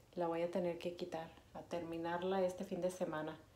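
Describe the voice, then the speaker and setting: In a room with audible echo, a woman speaks with fairly low pitch and monotone, flat intonation. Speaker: vlogger. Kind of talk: casual vlog talk to camera. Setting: bathroom at home. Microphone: phone near.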